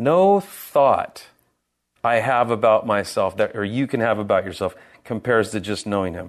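Speaking in an American accent at medium pitch, a man delivers his words at a moderate pace with an animated tone and lively intonation. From San Francisco Bay Area, California. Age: 50s. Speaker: pastor. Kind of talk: sermon. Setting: church.

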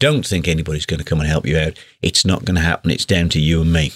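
A man talks with a British accent. The recording is very clean with a silent background, and the sound is dry and close with no echo. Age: 50s. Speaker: podcast host and guitar teacher. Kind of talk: solo podcast monologue. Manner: animated.

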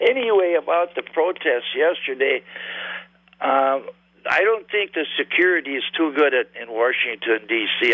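Intonation rises and falls in a lively way as a man talks at a moderate pace. He uses a plain, everyday voice. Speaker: caller. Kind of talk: call-in radio chat. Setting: phone call.

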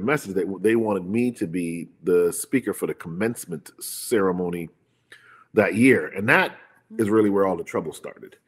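This man has a plain, everyday voice and an American accent, pitched fairly low and delivered at a moderate pace. The recording is very clean, with a silent background. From Hartford, Connecticut, US, to Jamaican parents. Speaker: physician and preacher. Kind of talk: testimony.

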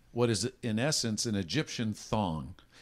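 A man's normal speaking voice, fairly low in pitch, at a moderate pace in a very clean recording with a silent background. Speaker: voice-over announcer, recorded casino overhead announcements; podcast co-host. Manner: humorous storyteller.

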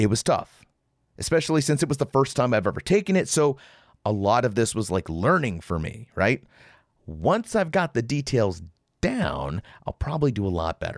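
In a furious, animated tone, a man with an American accent speaks at a moderate pace with very wide pitch swings and vocal fry. The recording is very clean with a silent background, dry and close with no echo. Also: medium pitch for a man. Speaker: podcast host. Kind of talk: angry rant. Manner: furious, sarcastic, barking at listeners; profane, blunt, animated.

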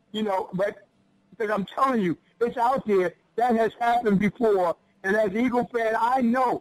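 With an American accent and ordinary pitch variation, the speaker talks at a moderate pace in a dry, close sound with no echo. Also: man, high pitch for a man. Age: 50s. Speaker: radio caller, sports fan. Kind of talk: call-in sports talk.

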